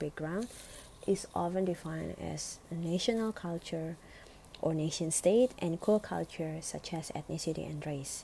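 A woman with an Indonesian accent speaks at a moderate pace in a fairly low pitch. Her tone is dark and mellow, and somewhat breathy. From Indonesia, Bali. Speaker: student. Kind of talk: academic presentation.

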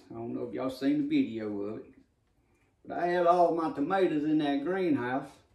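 Audible room echo surrounds a man speaking against a quiet background. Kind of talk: casual vlog chat. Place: kitchen.

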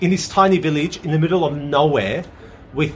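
Over light background noise, a man speaks at a fairly high pitch. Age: 30s. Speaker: YouTuber telling a personal story. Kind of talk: casual storytelling monologue. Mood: earnest, amazed recollection. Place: garden. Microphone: phone near.

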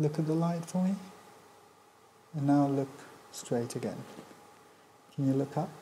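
Pitch varies in an ordinary way. Light background noise can be heard. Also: man. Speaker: doctor performing a neurological eye examination. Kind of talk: medical exam consultation, calm instructions to a patient. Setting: clinical exam room, exam station. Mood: calm, polite, gentle.

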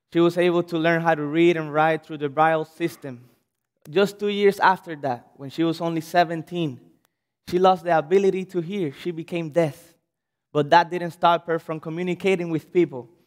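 Speaking with a Cuban accent, a man uses a high pitch, fairly even intonation and a moderate pace. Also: quiet background. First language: Spanish. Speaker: pastor. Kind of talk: sermon. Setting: church. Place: church. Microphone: podium.

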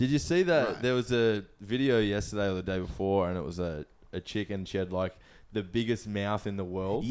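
On a very clean recording with a silent background, a man speaks at a fairly low pitch. His pitch varies in an ordinary way, and his pace is fairly quick. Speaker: podcast guest.

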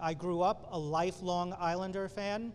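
A man speaks with a high pitch and ordinary pitch variation. There is light background noise. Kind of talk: press conference speech. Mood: excited, nostalgic. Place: hall. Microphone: podium.

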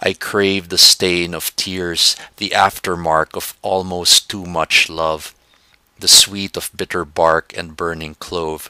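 Very slow and monotone, a man talks with flat intonation in a very deep, low voice that has a bright, sharp tone, the sound dry and close with no echo. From Philippines. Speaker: poet. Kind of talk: poetry reading.

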